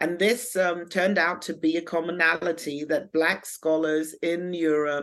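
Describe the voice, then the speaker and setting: With a German accent, a woman speaks at a fairly low pitch and with fairly even intonation. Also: quiet background. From Germany. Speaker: academic and activist. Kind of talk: interview. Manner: halting, many fillers.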